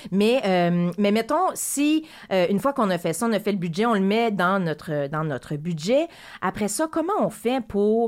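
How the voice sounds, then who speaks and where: The voice moves at a fairly slow pace with very wide pitch swings. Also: woman, medium pitch for a woman. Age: 40s. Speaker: radio host. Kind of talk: radio interview.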